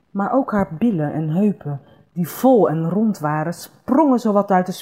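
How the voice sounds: The reading is done in a natural reading voice that rises and falls with lively intonation.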